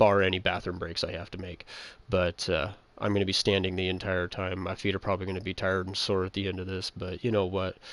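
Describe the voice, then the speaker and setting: Speaking very fast against a quiet background, a man with a very deep, low voice keeps a monotone, flat intonation. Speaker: gaming livestreamer. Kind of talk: casual chat. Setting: home livestream at night. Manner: quiet, hushed.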